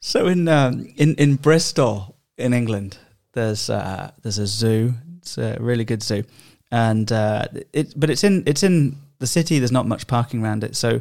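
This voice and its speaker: A man speaks in an ordinary speaking voice, medium in pitch, at a moderate pace with ordinary pitch variation. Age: 30s. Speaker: podcast host. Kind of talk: casual chat. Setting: studio.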